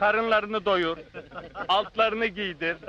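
In a dry space with no echo, a man projects a raised voice with fairly even intonation. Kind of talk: acted storytelling dialogue.

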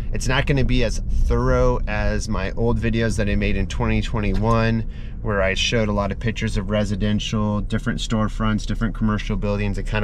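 A man talks fairly quickly in dry sound with no echo and light background noise. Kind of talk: casual vlog chat. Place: car. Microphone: phone near.

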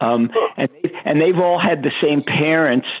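With an American accent, a man speaks in a fairly high pitch at a moderate pace with ordinary pitch variation over noticeable background noise. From Brooklyn, New York. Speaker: animal behavior scientist. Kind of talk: interview.

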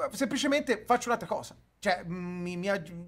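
Using a high pitch, a man talks in an animated tone with lively intonation. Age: 30s. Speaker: streamer. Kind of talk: heated debate. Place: home room.

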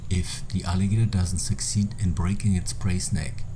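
A man with an ordinary speaking voice, fairly low in pitch, with lively intonation and a moderate pace. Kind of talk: nature documentary narration. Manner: measured, even, explanatory.

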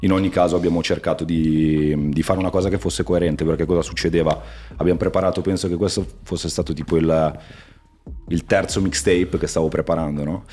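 A man's very deep, low voice at a very fast pace, fairly even in intonation, with faint music in the background. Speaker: interview guest. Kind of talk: interview answer. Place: studio. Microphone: studio mic.

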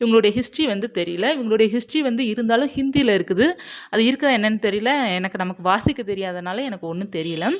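A woman with a fairly high pitch and lively intonation speaks in a normal speaking voice. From Tamil Nadu. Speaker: spiritual YouTuber. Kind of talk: personal testimony.

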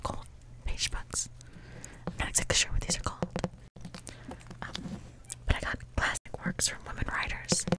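Over loud background noise, a woman talks at a moderate pace with long, frequent pauses, the sound dry with no echo. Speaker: ASMR creator. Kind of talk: soft-spoken ASMR chat. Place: home room. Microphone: studio mic.

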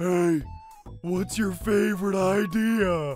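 Over clear music in the background, a put-on character voice at a middle pitch talks at a very slow pace. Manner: dopey, goofy.

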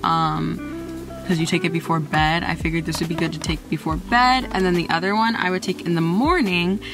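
Music plays behind a woman whose fairly low voice keeps very even loudness, ordinary pitch variation and a fairly quick pace. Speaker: singer and fitness vlogger. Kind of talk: casual talk to camera. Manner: rambling.

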